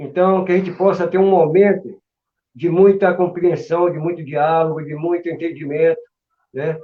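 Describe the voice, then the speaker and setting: In a monotone, flat delivery, a man with a high pitch speaks at a fairly slow pace. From Brazil, Salvador, Bahia. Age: 60s. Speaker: capoeira master. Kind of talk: interview. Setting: live stream.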